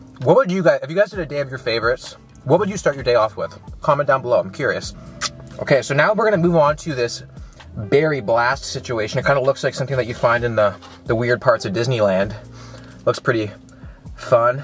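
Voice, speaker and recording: Faint music sits in the background as a man talks at a very fast pace, the sound dry with no echo. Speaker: fitness vlogger. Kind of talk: casual vlog chat. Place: car.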